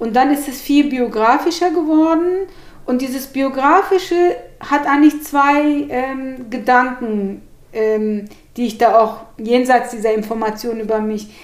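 In a room with audible echo, a woman speaks at a high pitch and a fairly slow pace. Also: lively intonation. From Turkey (Gemlik), raised in Hannover, Germany. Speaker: journalist and author. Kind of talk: interview. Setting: at her home.

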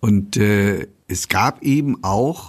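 A man talks with lively intonation. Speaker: amateur theatre director. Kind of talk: interview. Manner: formal.

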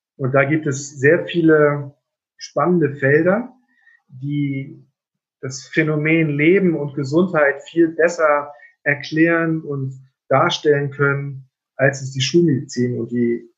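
With long, frequent pauses, the speaker moves at a very slow pace in a somewhat breathy voice with fairly even intonation. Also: man. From northern Germany, Rendsburg (Schleswig-Holstein). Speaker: general practitioner doctor. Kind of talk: interview conversation. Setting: video call.

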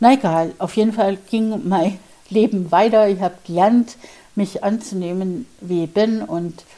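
A woman with a medium-pitched voice speaks fairly slowly. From Bavaria, Germany. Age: 50s. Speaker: podcast host and mindset coach. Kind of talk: personal storytelling monologue.

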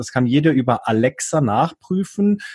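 Against a quiet background, a man with a fairly high pitch sounds somewhat breathy and uses lively intonation, the sound dry and close with no echo. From Switzerland, near Bern. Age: 30s. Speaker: online marketer. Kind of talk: casual interview.

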